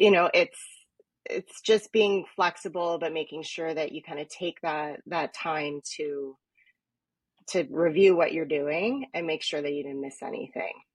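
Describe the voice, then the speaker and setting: In a Canadian accent, a woman with a plain, everyday voice speaks at a fairly slow pace and fairly low pitch, with ordinary pitch variation, big swings in loudness, and a dry, close sound with no echo. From Toronto, Canada (Etobicoke). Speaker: event planner, business owner. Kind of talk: interview.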